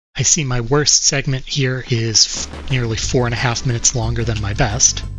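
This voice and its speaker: A moderately paced voice in an American accent with music in the background. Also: man. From United States. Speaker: video game speedrunner streamer. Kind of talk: live-streamed gameplay commentary.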